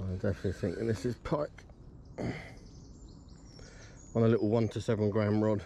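At a moderate pace, a man talks with a fairly low pitch, a dark, mellow tone, vocal fry and fairly even intonation.

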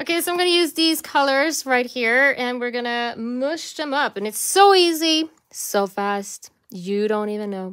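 Over a quiet background, the speaker moves at a fairly slow pace with very wide pitch swings. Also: woman, high pitch for a woman. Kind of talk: tutorial.

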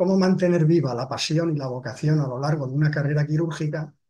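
Fairly high-pitched man with a dark, mellow, somewhat breathy tone, fairly even intonation and a moderate pace. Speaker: retired head of surgery. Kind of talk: webinar presentation. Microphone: webcam.

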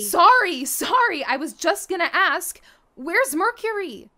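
A put-on character voice, female-sounding, with an extremely high pitch and a fairly slow pace. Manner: warm, eager, a bit timid.

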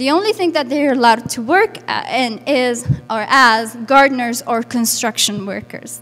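A woman speaks with a high pitch in an Arabic accent at a moderate pace, with faint music in the background. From Lebanon, Burj al Barajneh refugee camp; Lebanon. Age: 20s. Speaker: refugee activist and interpreter; speaker. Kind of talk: public talk. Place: hall. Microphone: handheld.

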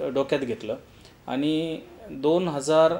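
A man speaking with fairly even intonation. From Maharashtra, Ahmednagar district (Sakuri village, Rahata taluka); Maharashtra. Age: young. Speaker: builder and developer, civil engineer. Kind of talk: interview, self-presentation. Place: office.

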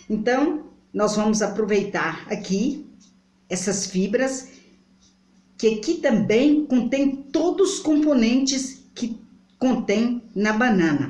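Speaking at a very slow pace with a Brazilian accent, a woman uses a fairly high pitch against a quiet background, with audible room echo. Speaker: home remedy vlogger. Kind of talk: tutorial. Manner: halting. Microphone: phone near.

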